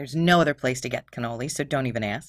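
Ordinary pitch variation marks this Philadelphia accent. The tone is bright and sharp, and the recording is very clean with a silent background. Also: woman. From Philadelphia, Pennsylvania. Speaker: true crime podcast host. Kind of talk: storytelling narration. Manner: casual, profane.

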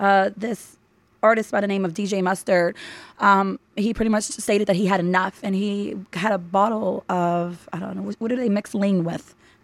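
Medium pitch, fairly even intonation and a moderate pace from a woman with an ordinary speaking voice. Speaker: podcast guest. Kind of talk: casual chat.

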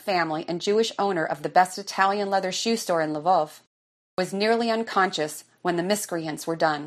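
Over a quiet background, someone reads aloud plainly with ordinary pitch variation.

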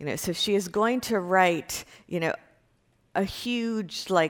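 A woman with an American accent talks at a fairly slow pace in an ordinary speaking voice, with ordinary pitch variation. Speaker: university professor. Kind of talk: lecture. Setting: classroom with students. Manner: conversational with fillers.

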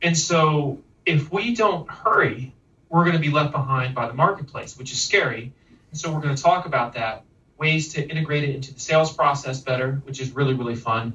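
An unremarkable speaking voice belongs to a man with fairly high pitch. He talks at a fairly quick pace with ordinary pitch variation. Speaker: keynote speaker. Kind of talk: live interview. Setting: video call.

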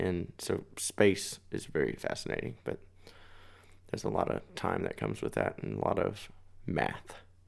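With an American accent and vocal fry, a man speaks at a moderate pace, his very deep, low pitch making very wide swings. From Texas, Bedford (DFW area). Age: 20s. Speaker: singer-songwriter. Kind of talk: casual chat. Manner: loud and expressive.

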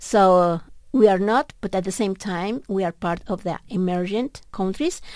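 With a Mexican accent, a woman talks at a medium pitch and a fairly slow pace, with ordinary pitch variation. The recording is very clean, with a silent background. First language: Spanish. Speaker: economics professor. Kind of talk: radio interview. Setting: radio studio. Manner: halting.

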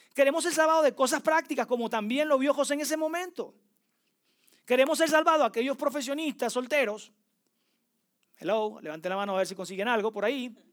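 A man with an extremely high voice talks very fast, breaking often into long pauses, on a very clean recording with a silent background. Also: lively intonation. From Venezuela. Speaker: preacher. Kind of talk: sermon.

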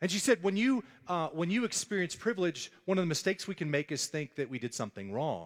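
A man with an American accent talks very fast in a high voice with very wide pitch swings, recorded with a dry, close sound and no echo. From US South (Dallas, Texas). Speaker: pastor. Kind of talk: sermon.

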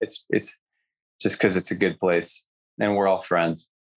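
Fairly low male voice, a normal speaking voice with fairly even intonation and a dry, close sound with no echo. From Southern California. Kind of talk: interview. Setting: video call.

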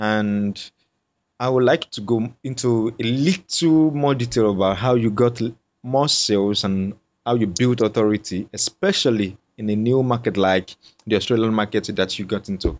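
Speaking at a moderate pace, a man has an ordinary speaking voice with a medium pitch and ordinary pitch variation. The background is quiet. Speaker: podcast host. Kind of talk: interview.

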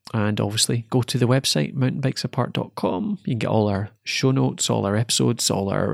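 With a Scottish accent and vocal fry, a man speaks at a very fast pace with hardly any pauses, the sound dry and close with no echo. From Scotland, Dumfries. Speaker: podcast host. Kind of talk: casual chat; scripted outro.

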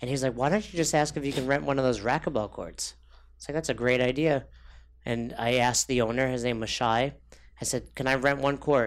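A man's unremarkable speaking voice, medium in pitch, with fairly even intonation and a moderate pace. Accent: American. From New York. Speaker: fitness coach. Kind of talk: casual chat.

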